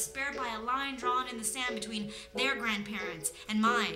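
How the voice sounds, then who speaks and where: With an American accent, a woman speaks at a moderate pace amid noticeable background noise and audible room echo. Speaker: spoken word poet. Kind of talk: spoken word performance.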